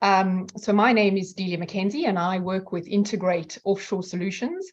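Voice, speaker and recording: Speaking in a slight South African accent, a woman sounds somewhat breathy. Her pace is moderate. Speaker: outsourcing company representative. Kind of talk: online presentation. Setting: video call.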